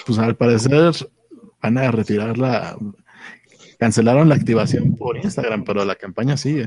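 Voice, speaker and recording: A man speaks at a moderate pace and medium pitch with ordinary pitch variation. He leaves long, frequent pauses. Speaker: podcast co-host. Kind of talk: casual chat. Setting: at home.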